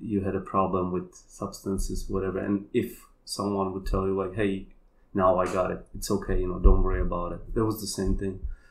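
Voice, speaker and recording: A man with a Polish accent speaks at a fairly low pitch and a fairly quick pace. His intonation is monotone and flat, with audible room echo. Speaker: kambo practitioner and healer. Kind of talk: casual chat.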